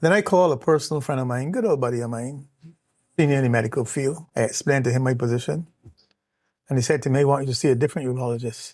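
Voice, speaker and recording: Very fast male speech at medium pitch with ordinary pitch variation, on a very clean recording with a silent background. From Barbados. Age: 60s. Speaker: cancer survivor, retired executive. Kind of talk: interview testimony. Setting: in person, Barbados.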